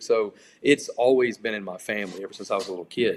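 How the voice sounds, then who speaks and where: In a very clean recording with a silent background, a man with a Louisiana accent speaks at a moderate pace and medium pitch. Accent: Louisiana Southern US. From Louisiana, Baton Rouge area. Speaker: country singer. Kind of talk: interview. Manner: casual, conversational.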